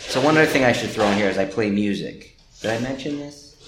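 Against noticeable background noise, a man with an American accent talks at a fairly quick pace with ordinary pitch variation. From New Jersey, Trenton. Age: 50s. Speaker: gallery owner. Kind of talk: casual chat.

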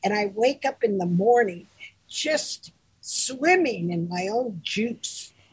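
Her fairly high, somewhat breathy voice moves at a very slow pace with very wide pitch swings. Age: 80s+. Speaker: co-host, groomer and mentor. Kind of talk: casual chat.

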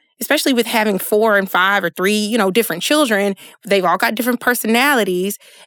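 This woman has a plain, everyday voice, fairly high in pitch, with ordinary pitch variation. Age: 30s. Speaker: licensed social worker and podcaster. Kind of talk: casual chat.

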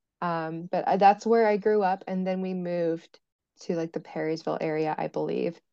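A normal speaking voice: a woman with an American accent, fairly low in pitch, at a moderate pace with fairly even intonation. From US Midwest, rural western Indiana. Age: 20s. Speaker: mental health advocate. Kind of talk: casual interview.

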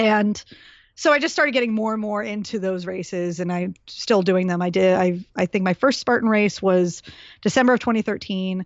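At a medium pitch and moderate pace, a woman speaks in a plain, everyday voice with ordinary pitch variation. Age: 40s. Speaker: fitness trainer and podcast host. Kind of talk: casual interview chat.

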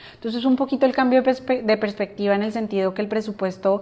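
Fairly even intonation runs through this woman's speech. She has a plain, everyday voice pitched in the middle. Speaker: finance professional. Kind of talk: casual interview.

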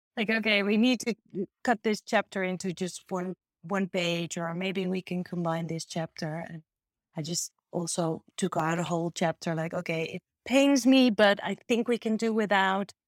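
The recording is very clean, with a silent background. A woman speaks at a moderate pace and medium pitch, with ordinary pitch variation. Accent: Dutch. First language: Dutch. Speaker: artist and author. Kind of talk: interview. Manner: halting, many fillers.

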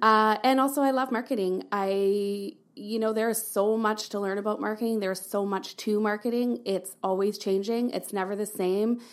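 In a Canadian accent, a woman speaks with an unremarkable speaking voice at fairly high pitch, keeping a moderate pace with hardly any pauses and fairly even intonation, on a very clean recording with a silent background. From Alberta, Canada (Calgary). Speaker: marketing agency worker. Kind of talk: casual interview.

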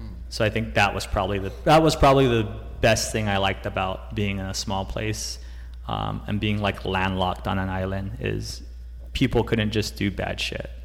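A man's very deep, low voice with vocal fry and very wide pitch swings, at a moderate pace, in audible room echo. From Guam. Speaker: brand founder and jiu-jitsu practitioner. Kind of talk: casual interview.

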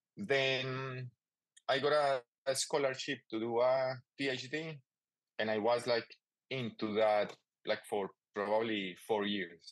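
A man with a Spanish accent speaks at a very slow pace, leaving long, frequent pauses. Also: medium pitch for a man, ordinary pitch variation. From Colombia. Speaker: toy maker and artist. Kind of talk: casual interview. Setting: remote call.

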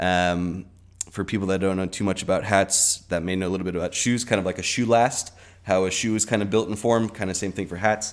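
Fairly even in intonation, a man speaks at a fairly quick pace with a Californian accent. His pitch sits fairly low. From US West, Southern California (Orange County). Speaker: hat maker. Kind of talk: casual interview chat. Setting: studio with shared microphone.

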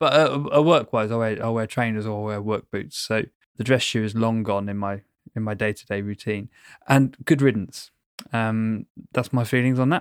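A man talks at a moderate pace with medium pitch and fairly even intonation. The recording is very clean with a silent background and a dry, close sound with no echo. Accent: London. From London. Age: 30s. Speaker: podcast co-host, engineer. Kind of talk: casual chat. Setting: call.

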